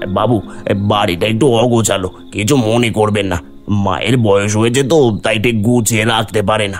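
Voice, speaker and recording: Over clear background music, a man does a cartoonish character voice at a fairly low pitch and a moderate pace. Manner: deferential, addresses listener as babu.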